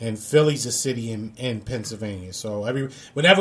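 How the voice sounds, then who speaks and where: A very fast-talking man with a New York accent, somewhat breathy, with ordinary pitch variation. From New York, Brooklyn. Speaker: radio show host. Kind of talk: casual chat.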